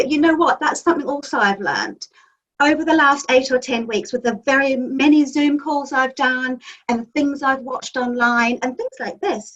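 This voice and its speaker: A woman with a New Zealand accent, high in pitch, with ordinary pitch variation. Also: moderate pace. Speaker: magazine editor and publisher. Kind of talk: interview answer.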